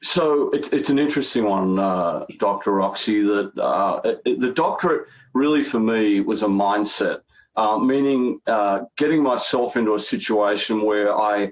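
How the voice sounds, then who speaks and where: In an Australian accent, a man speaks at a moderate pace and medium pitch, his loudness very even and his pitch varying in an ordinary way. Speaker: healthcare strategy consultant. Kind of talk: interview.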